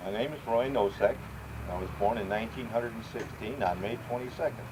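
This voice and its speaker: Over noticeable background noise and audible room echo, a man with an American accent talks at a very fast pace and a medium pitch with ordinary pitch variation. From Chicago area, Illinois (Cicero/Berwyn). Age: 70s. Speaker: grandfather interviewed for family history. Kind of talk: family history interview.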